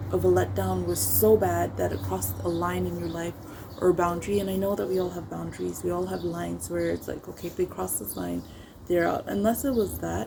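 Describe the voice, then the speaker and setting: A woman keeps a fairly quick pace with noticeable background noise around her. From Africa. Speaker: YouTuber. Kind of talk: casual talk to camera.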